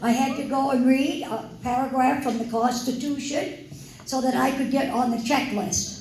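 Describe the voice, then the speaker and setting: Her voice is pitched high. The woman's speech carries audible room echo along with noticeable background noise. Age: 80s+. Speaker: retired factory worker speaking at a political event. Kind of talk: speech at a town hall. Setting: town hall with audience.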